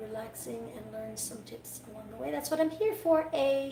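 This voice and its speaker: A woman with a Quebec accent talks at a moderate pace amid noticeable background noise and audible room echo. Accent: Canadian French. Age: 30s. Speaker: dog groomer. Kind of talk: live-stream grooming tutorial. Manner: casual, halting.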